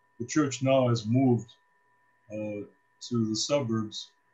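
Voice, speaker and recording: A man with an American accent, medium pitch and a somewhat breathy voice, at a moderate pace with fairly even intonation. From US Midwest, Cleveland, Ohio. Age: 70s. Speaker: priest. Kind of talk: casual talk to students, life story. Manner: hesitant, many fillers.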